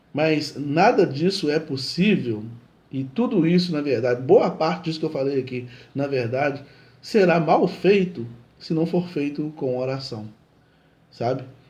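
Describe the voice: In a put-on character voice, a man sounds hoarse and fairly high-pitched, with lively intonation, a moderate pace and long, frequent pauses.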